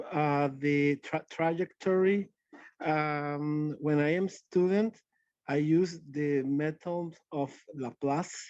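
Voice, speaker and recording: A man speaks in a Spanish accent. His pace is very slow. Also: fairly high pitch for a man, quiet background. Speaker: audience member asking questions. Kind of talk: webinar Q&A. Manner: halting, searching for words.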